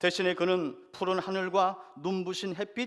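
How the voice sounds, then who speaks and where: The man's voice is high in pitch. He talks at a fairly slow pace. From Jeju Island, Korea. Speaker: pastor. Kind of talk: sermon.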